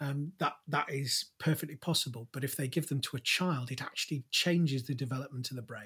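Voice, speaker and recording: With a British accent, a man talks at a fairly quick pace and fairly high pitch, his bright, sharp tone carrying fairly even intonation and hardly any pauses on a very clean recording with a silent background. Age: 50s. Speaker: podcast co-host and father. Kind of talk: casual conversation.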